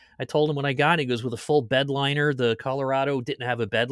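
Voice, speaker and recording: At a very fast pace, a man speaks at medium pitch with a bright, sharp tone, the sound dry and close with no echo. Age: 60s. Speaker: sim racing podcast host. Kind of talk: casual podcast interview; league announcement.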